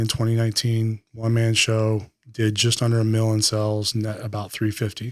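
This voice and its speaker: A soft-spoken man talks at medium pitch and a moderate pace in a monotone, flat intonation. The recording is very clean, with a silent background. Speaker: former Marine and police officer, entrepreneur. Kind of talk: interview answer.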